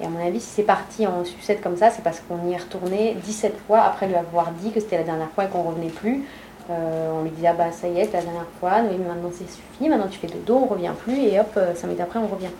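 Over noticeable background noise and audible room echo, a woman talks at a very fast pace with ordinary pitch variation. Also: fairly low pitch for a woman. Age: 30s. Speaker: mother keeping an audio diary. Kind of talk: home recording, talking to toddler and partner.

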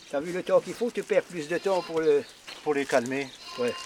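A high-pitched man's voice with lively intonation over noticeable background noise. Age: 80s+. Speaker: pig slaughterer. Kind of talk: casual talk while working.

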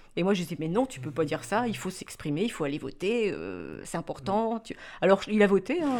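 Fairly quick and lively in intonation, a woman at medium pitch speaks with vocal fry and big swings in loudness. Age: 40s. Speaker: mother of interviewee. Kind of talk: documentary interview.

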